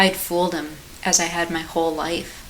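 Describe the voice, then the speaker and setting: A woman's fairly low-pitched voice at a moderate pace, with noticeable background noise. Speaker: author and narrator. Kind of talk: horror short story reading.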